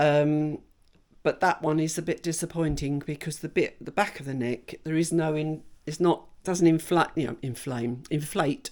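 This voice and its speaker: A woman speaks with an English accent at a moderate pace. Her pitch is very deep and low, and her intonation fairly even. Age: 60s. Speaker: vlogger. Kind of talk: casual vlog talk.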